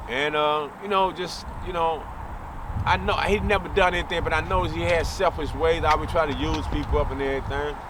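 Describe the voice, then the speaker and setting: Noticeable background noise surrounds a man talking at a moderate speed. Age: 60s. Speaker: former street fighter. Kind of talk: interview storytelling.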